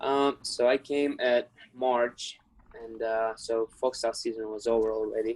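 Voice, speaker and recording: This man has a medium-pitched voice with a Ukrainian accent. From Ukraine. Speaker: wrestler. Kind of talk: interview.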